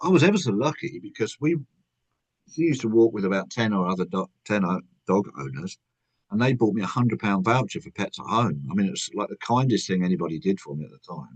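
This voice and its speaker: A man with a fairly low pitch talks at a very fast pace, his pitch swinging very widely. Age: 60s. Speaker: author. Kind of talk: podcast interview.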